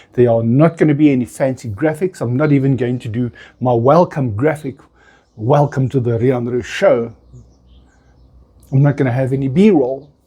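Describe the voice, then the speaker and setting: A man speaks. There is a somewhat breathy quality to his voice. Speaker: content creator. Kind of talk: casual monologue to camera. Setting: outdoors on balcony. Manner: unedited, with false starts. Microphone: small wireless microphone, phone camera.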